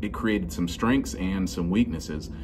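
Loud music plays behind a man speaking at a moderate pace. His pitch varies an ordinary amount. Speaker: bass reviewer. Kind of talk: casual vlog chat. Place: shop. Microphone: phone near.

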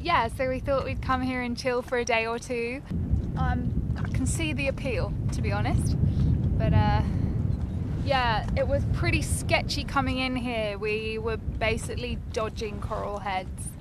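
A woman speaks fairly slowly at a fairly high pitch. Her intonation stays fairly even, with clear background noise behind her.

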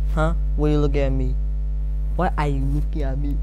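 The man's voice is very deep and low, with very even loudness. He speaks at a fairly quick pace over noticeable background noise. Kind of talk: casual vlog chat, comedic acting. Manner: drunken, pushy slurred questioning. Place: home room. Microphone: phone near.

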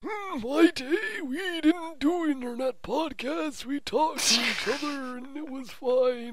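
In a put-on character voice, the speaker goes at a fairly slow pace over clear background noise.

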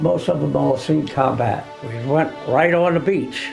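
Clear music plays in the background. A man speaks at a fairly slow pace. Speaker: war veteran. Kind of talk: interview answer. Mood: somber, reflective. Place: home room.

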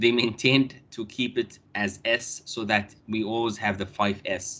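Very slow speech with a bright, sharp tone carries ordinary pitch variation. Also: man. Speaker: university lecturer. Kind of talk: lecture. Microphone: video call.

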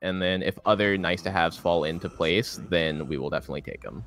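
A man talks at a very fast pace. Music sounds in the background. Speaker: marathon host. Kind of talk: live commentary.

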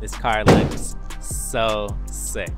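Dry sound with no echo and clear music in the background. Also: man. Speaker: car reviewer. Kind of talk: casual walk-around commentary. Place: street. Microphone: phone near.

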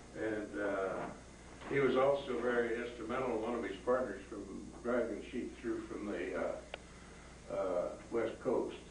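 There is audible room echo and noticeable background noise. A man talks at a very slow pace. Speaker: retired livestock and sheep extension specialist. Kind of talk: history talk to a group. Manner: hesitant, filler-heavy. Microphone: camera far.

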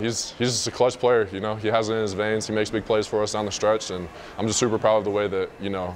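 A man talks at a fast pace, his fairly low voice showing little pitch movement.

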